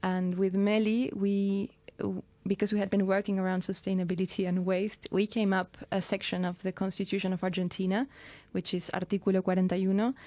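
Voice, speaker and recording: A woman of medium pitch with a dark, mellow tone, monotone, flat intonation and very even loudness, at a fairly quick pace. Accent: Spanish. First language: Spanish. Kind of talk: radio interview. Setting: studio.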